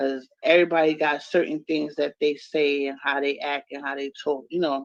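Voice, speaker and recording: A woman with a very deep, low voice speaks in a New York accent at a moderate pace. Her intonation stays flat and monotone. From New York City, the Bronx. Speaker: live stream guest. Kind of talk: casual chat.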